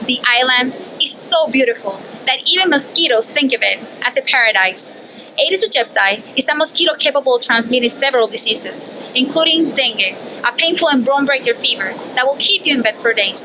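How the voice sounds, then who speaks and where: Over noticeable background noise, a woman speaks at a fairly quick pace in a raised, projected voice with a high pitch, ordinary pitch variation and very even loudness. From Puerto Rico. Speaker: PhD student researcher. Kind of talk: science communication narration.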